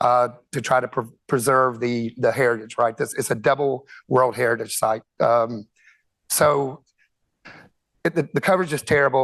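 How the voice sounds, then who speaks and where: A man's medium-pitched voice keeps fairly even intonation at a moderate pace. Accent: Southern US. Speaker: conference speaker, telecom executive. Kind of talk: conference presentation. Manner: halting, many fillers and repetitions.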